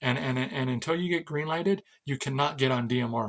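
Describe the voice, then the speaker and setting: This man talks very fast at a medium pitch, with an American accent. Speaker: ham radio hobbyist and radio seller. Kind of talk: casual rant to camera. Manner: halting, repetitive.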